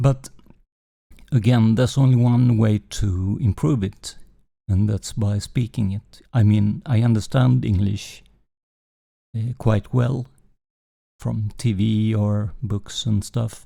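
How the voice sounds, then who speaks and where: A man with a Swedish accent and a dark, mellow tone, fairly low in pitch with ordinary pitch variation, at a very slow pace full of long, frequent pauses. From Sweden. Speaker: gaming streamer. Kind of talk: live game stream commentary. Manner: halting, many fillers.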